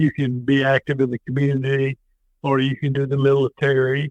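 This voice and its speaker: A man's medium-pitched voice moves along at a moderate tempo. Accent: Tennessee. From US South. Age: 60s. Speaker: former state legislator and army veteran. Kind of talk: interview conversation. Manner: hesitant, many fillers.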